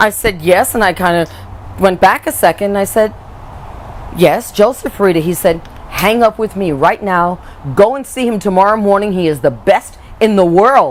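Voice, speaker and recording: A woman at a medium pitch talks at a moderate pace in an animated tone with lively intonation and long, frequent pauses, over noticeable background noise. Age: 60s. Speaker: patient giving testimonial. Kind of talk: testimony. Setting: on camera interview.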